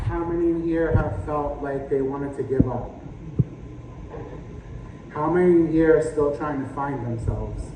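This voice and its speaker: Over noticeable background noise, a man speaks at a fairly high pitch with fairly even intonation. He leaves long, frequent pauses. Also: moderate pace. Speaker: spoken word poet. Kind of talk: spoken word poetry performance.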